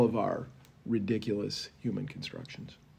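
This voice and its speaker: This man's voice is medium in pitch, with a dark, mellow tone. Vocal fry runs through it. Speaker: Episcopal priest. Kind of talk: casual discussion. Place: meeting room. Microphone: camera far.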